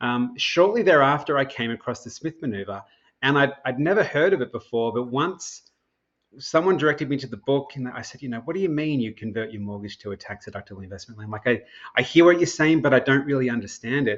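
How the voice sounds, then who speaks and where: Very fast and lively in intonation, a man with an Australian accent speaks at a medium pitch with big swings in loudness. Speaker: mortgage broker and financial strategy educator. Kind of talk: podcast interview. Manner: conversational, with frequent self-repetitions.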